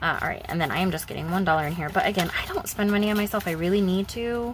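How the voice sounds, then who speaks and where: A woman's very fast, medium-pitched voice with lively intonation and noticeable background noise. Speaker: budgeting YouTuber. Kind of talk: casual vlog talk.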